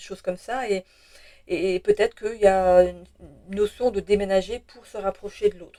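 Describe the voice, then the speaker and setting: A woman speaks at medium pitch with a dark, mellow tone. The sound is dry and close, with no echo. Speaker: tarot reader, channel owner. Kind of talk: tarot reading guidance video. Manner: fast at times; hesitant, many fillers and repetitions.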